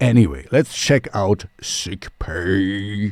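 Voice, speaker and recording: A man with a German accent speaks in a fairly low voice with a dark, mellow tone. Pitch variation is ordinary, and the recording is very clean with a silent background. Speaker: radio host and DJ. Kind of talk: casual radio show presenting. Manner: halting with many fillers.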